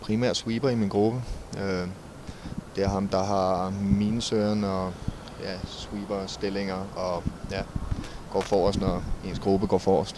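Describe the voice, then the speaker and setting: Against noticeable background noise, a man speaks very slowly in a fairly low, monotone voice with flat intonation and long, frequent pauses. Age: 20s. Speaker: war veteran. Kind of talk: interview. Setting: outdoors. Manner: halting.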